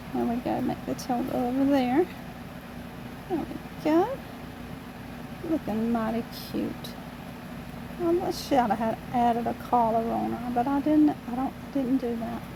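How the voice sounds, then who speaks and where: A woman's high-pitched voice at a fairly slow pace, with ordinary pitch variation, long, frequent pauses and noticeable background noise. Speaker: amateur painter, channel owner. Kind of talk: painting tutorial. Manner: casual, chatty with fillers.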